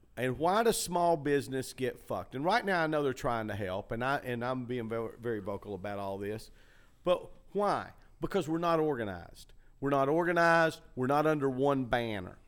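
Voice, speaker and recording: A man with a plain, everyday voice talks at medium pitch and a moderate pace. His intonation is lively on a very clean recording with a silent background. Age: 60s. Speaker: comedy club owner and podcast host. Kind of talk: casual chat. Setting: empty comedy club showroom.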